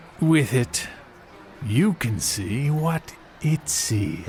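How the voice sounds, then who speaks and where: A man uses a put-on character voice at a medium pitch and a very slow pace. Clear background noise is present. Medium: audio drama. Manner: measured, condescending.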